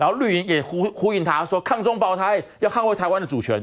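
A man's high voice at a fairly quick pace. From Taiwan. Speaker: political commentator. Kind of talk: talk show panel discussion. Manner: animated. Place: studio.

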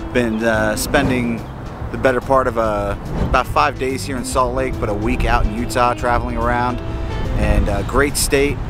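Over music in the background, a man talks at a moderate pace in a dry sound with no echo. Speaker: beer vlogger. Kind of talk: casual vlog chat. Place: street. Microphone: phone near.

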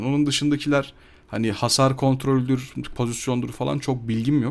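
A very clean recording with a silent background captures a man at a medium pitch and moderate pace. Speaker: gaming YouTuber. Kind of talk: gameplay commentary voiceover. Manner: casual, hesitant with fillers.

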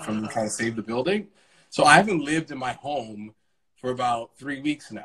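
Bright, sharp tone from a man with an American accent, medium pitch, ordinary pitch variation and a fairly quick pace over a quiet background. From Brooklyn, New York. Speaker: Broadway actor. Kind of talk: casual chat. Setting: Instagram Live video from home. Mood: upbeat, optimistic despite troubles. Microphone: video call.

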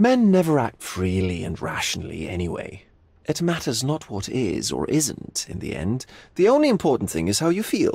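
On a very clean recording with a silent background, a man puts on a character voice with vocal fry, a slightly husky edge and a slightly mellow tone, swinging very widely in pitch at a moderate pace. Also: medium pitch for a man.

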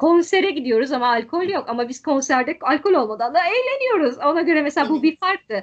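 Over a quiet background, a woman talks at a fairly quick pace. Her pitch swings very widely. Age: 40s. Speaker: tour guide; interview guest. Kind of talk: interview conversation. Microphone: video call.

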